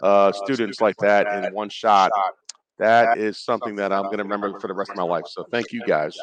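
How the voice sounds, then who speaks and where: In a Brooklyn accent, a man speaks with fairly even intonation. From New York (Brooklyn). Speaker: former NFL player, player engagement rep. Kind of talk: radio interview. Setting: radio row at live sports event.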